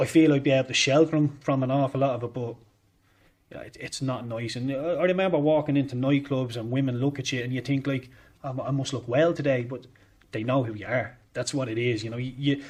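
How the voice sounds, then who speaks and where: A man speaks with a Dublin accent at a fairly quick pace. His medium-pitched voice is somewhat breathy, with fairly even intonation. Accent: Dublin Irish. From Ireland, Dublin. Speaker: former footballer. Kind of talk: interview. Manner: halting.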